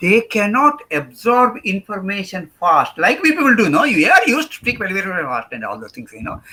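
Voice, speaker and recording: Raised and projected, a man's high voice has a bright, sharp tone and very wide pitch swings. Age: old. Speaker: professor. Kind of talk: lecture. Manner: hesitant with many fillers.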